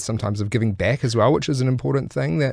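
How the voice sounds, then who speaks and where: A man speaks with a New Zealand accent. His medium-pitched voice has lively intonation. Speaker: podcast host. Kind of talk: casual podcast talk. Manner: upbeat.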